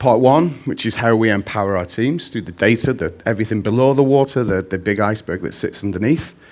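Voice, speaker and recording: With a Mancunian accent, a man speaks at a fairly quick pace, using medium pitch and ordinary pitch variation. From Manchester, northern England. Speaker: conference speaker, data visualization specialist. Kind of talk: conference talk.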